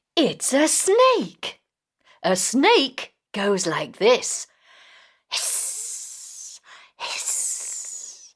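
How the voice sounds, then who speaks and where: A put-on character voice that sounds female comes out very slowly with a high pitch. Long pauses appear often. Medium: read story.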